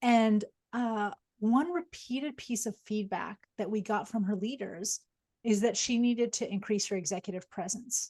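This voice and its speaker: A woman at a moderate pace, fairly high in pitch, somewhat breathy, with a dark, mellow tone and ordinary pitch variation. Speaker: psychologist and executive coach. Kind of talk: webinar lecture.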